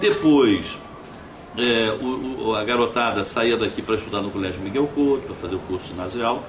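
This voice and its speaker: A man speaks at a moderate pace and medium pitch with ordinary pitch variation, with audible room echo and noticeable background noise. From Brazil, Cabo Frio (Rio de Janeiro state). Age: 60s. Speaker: former mayor, politician. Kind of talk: interview. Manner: halting, frequent fillers and repetitions.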